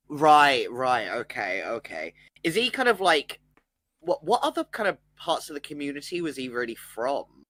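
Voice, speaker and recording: At a moderate pace, the words come with a British accent. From Britain. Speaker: stream co-host. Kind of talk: casual chat.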